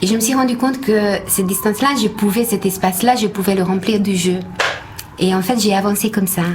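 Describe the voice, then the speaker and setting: With a slight Hungarian accent, a woman speaks at medium pitch and a moderate pace with fairly even intonation over noticeable background noise. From Hungary. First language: Hungarian (speaking French). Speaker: actress. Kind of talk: radio interview. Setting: radio studio. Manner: halting.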